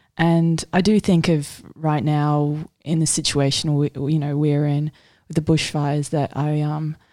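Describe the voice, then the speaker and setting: With an Australian accent, a woman speaks with very deep, low pitch. Her intonation stays fairly even. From Sydney, Australia. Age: 20s. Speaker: artist. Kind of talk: casual chat.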